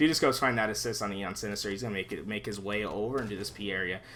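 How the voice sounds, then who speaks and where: Soft-spoken yet animated, a man with a medium pitch talks at a very fast pace with ordinary pitch variation and audible room echo. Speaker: esports caster. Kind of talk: live commentary. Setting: live stream. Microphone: too quiet.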